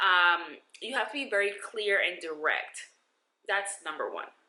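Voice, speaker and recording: A woman with a New York accent talks at a medium pitch in an animated tone. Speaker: lifestyle vlogger. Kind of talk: advice vlog.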